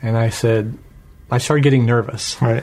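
This man's voice sits at a medium pitch. It carries a somewhat breathy quality. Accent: American. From Washington State, US. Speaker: church member giving testimony. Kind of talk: testimony.

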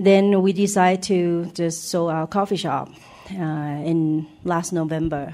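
A woman's fairly low, dark, mellow voice in a Thai accent, at a very slow pace with fairly even intonation. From Thailand. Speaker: church member giving testimony. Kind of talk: testimony. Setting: church.

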